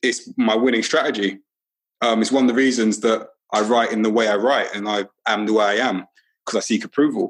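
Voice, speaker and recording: Speaking in a London accent, a man has a medium pitch and fairly even intonation. His pace is fairly quick. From London, Brixton. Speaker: teacher and author. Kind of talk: casual interview conversation. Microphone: not studio quality.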